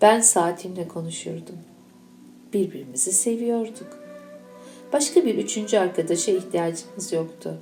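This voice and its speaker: A woman talks at a fairly slow pace. Music plays in the background amid audible room echo. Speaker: teacher. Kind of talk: reading aloud. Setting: school event.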